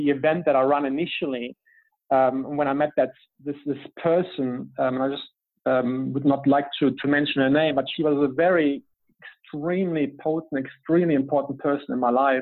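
Speaking in a German accent, a man keeps a flat, monotone intonation at fairly high pitch and moderate pace. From Germany. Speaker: business coach. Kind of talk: interview.

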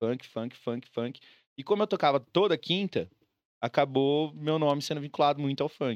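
Here is a man with an unremarkable speaking voice, a fairly high pitch and ordinary pitch variation. He talks at a moderate pace, and the sound is dry and close with no echo over a quiet background. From Brazil, Mato Grosso do Sul (Campo Grande). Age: 30s. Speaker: DJ. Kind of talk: casual chat.

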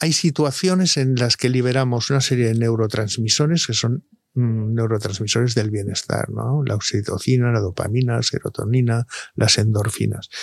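A man speaks at a moderate pace with medium pitch. His loudness stays very even. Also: ordinary pitch variation. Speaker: doctor (andrologist). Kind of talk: casual interview. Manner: halting.

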